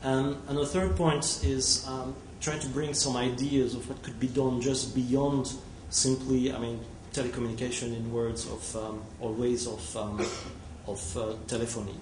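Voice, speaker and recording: Noticeable background noise and audible room echo surround a man with a French accent. He speaks at a moderate pace with medium pitch and ordinary pitch variation. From France. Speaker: telecom technology executive. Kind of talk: conference presentation. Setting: conference hall with audience. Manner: halting, many fillers.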